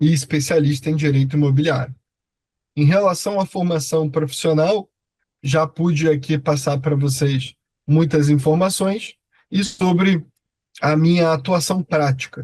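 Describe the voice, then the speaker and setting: A man's fairly high voice with a Rio de Janeiro accent, fairly even intonation, very even loudness, a fairly slow pace and long, frequent pauses. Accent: Rio de Janeiro (carioca). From Rio de Janeiro, Brazil. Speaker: law professor. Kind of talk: online lecture. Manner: hesitant, many filler 'é'.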